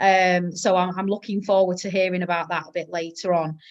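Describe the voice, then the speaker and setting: A woman with a northern English accent talks at a moderate pace over a quiet background. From northern England. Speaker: teacher and podcast host. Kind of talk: casual chat.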